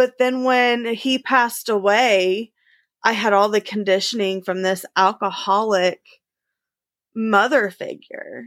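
A woman's fairly high voice with a Midwestern US accent, very slow and fairly even in intonation, in a very clean recording over a silent background. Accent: US Midwest. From Indiana, suburb of Indianapolis. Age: 20s. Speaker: human services practitioner, business owner. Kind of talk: interview testimony.

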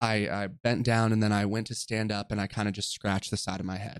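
The speaker talks in an American accent. The recording is very clean with a silent background. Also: man. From Southern California (Orange County). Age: 20s. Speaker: podcast host. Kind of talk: personal storytelling monologue. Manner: casual, filler-heavy.

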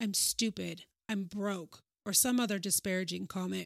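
A woman speaks in a plain, everyday voice at a medium pitch and moderate pace. The sound is dry and close with no echo. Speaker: podcast host. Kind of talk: scripted solo podcast intro, reflective monologue. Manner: earnest, formal, wellness-style.

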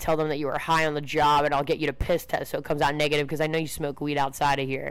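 A woman's voice, very deep and low in pitch, carries an American accent. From Baltimore area, Maryland. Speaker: bartender. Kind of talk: casual chat.

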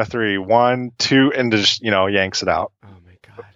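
An unremarkable speaking voice comes from a man with an American accent, medium pitch and ordinary pitch variation. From Central Illinois. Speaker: species angler. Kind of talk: casual storytelling.

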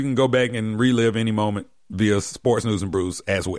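The recording is very clean, with a silent background. A man talks in a plain, everyday voice, his pace moderate and his pitch varying in an ordinary way. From US South, Decatur, Georgia. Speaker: sports radio host. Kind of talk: casual sports talk show.

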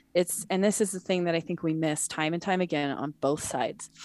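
In a very clean recording with a silent background, a woman speaks at a fairly low pitch in a plain, everyday voice. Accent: American. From US Mountain West (Montana, Wyoming). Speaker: wildlife conservation advocate. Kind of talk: casual interview.

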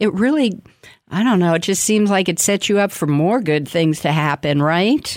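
An ordinary speaking voice at a moderate pace and very even loudness. The recording is very clean, with a silent background. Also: woman, medium pitch for a woman. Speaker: radio host. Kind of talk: radio interview, conversational. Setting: radio studio.

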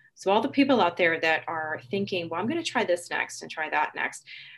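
Against a quiet background, a woman speaks in a fairly low pitch with vocal fry and very wide pitch swings. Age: 50s. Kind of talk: personal testimony in casual interview. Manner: halting, with fillers and repeated words.

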